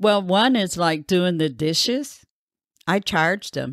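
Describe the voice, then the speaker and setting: Recorded very cleanly against a silent background, with a dry, close sound and no echo, a woman speaks in a normal speaking voice. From US Midwest, Grand Rapids, Michigan. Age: 60s. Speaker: university researcher. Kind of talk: oral history interview.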